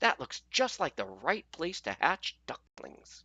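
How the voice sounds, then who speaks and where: Putting on a character voice, a man speaks high-pitched at a fairly slow pace. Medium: read story. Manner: motherly, assured.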